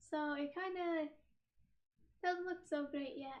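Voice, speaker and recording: Speaking at a fairly slow pace, a woman uses a high pitch with fairly even intonation. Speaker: streamer. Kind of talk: casual chat. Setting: live stream with laptop camera.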